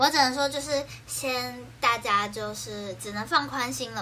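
A woman speaks with light background noise behind her. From Taiwan, Keelung; Taiwan. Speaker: idol livestreamer. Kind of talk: casual livestream chat. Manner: animated. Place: home room. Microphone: phone near.

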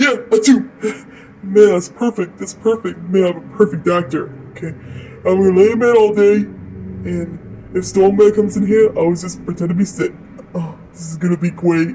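A cartoonish character voice at a middle pitch moves along at a moderate pace. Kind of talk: comic overacting. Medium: puppet show. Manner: goofy, scheming, self-congratulatory.

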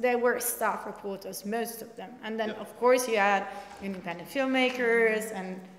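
A woman with an Italian accent speaks at a moderate pace in a fairly high pitch, her intonation fairly even but her loudness swinging widely, with noticeable background noise. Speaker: investigative reporter. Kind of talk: panel discussion. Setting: stage with audience.

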